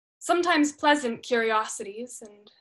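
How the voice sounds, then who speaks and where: The voice moves at a fairly slow pace over a quiet background. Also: woman. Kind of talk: dramatic monologue performance. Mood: reflective, expressive storytelling. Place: home room. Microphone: webcam.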